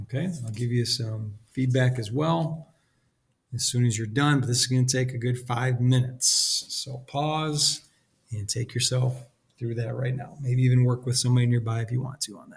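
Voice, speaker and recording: Speaking at a medium pitch with fairly even intonation, the man sounds somewhat breathy and shows big swings in loudness. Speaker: statistics teacher. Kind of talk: lecture. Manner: fast.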